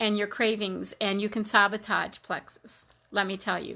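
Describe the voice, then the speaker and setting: Her tone bright and sharp, a woman with an American accent speaks at a moderate pace and a fairly high pitch on a very clean recording with a silent background. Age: 60s. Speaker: health product seller. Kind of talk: testimony. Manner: halting.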